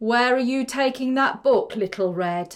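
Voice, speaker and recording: In a gruff, put-on character voice, a woman talks at a moderate pace and a high pitch. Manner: menacing.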